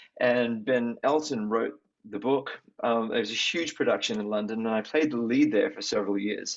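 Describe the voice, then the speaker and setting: Using an Australian accent, a man talks at a moderate pace with a medium pitch and ordinary pitch variation. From Australia, Sydney. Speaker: singer. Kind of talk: interview.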